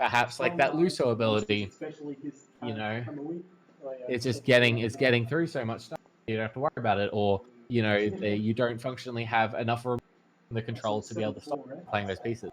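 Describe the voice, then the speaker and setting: A man speaks very fast with an Australian accent, at a medium pitch with ordinary pitch variation. His long pauses come often. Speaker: card game tournament commentator. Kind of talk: live commentary.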